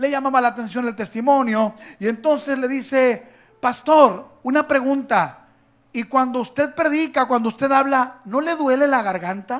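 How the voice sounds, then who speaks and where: An animated man at a moderate pace, his pitch extremely high. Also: ordinary pitch variation. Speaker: pastor. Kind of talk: sermon.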